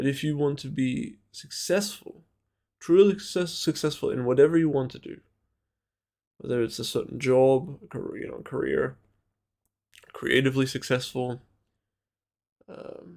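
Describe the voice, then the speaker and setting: The speaker has a non-native accent and leaves long, frequent pauses. Loudness swings a great deal. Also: man. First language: not English. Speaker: vlogger. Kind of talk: personal monologue. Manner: slow; halting, many fillers and repetitions.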